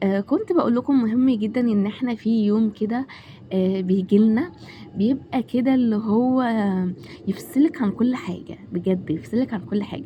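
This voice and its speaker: A woman in an Egyptian accent at a medium pitch and moderate pace, with ordinary pitch variation and noticeable background noise. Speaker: home vlogger, mother. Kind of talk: casual vlog talk to camera. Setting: home kitchen. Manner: hesitant, many fillers.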